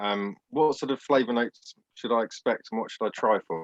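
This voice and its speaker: A man talks at a fairly quick pace in an English accent. The sound is dry and close, with no echo. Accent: received pronunciation English. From Southeast London, England. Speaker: cigar enthusiast attendee. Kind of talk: casual video chat.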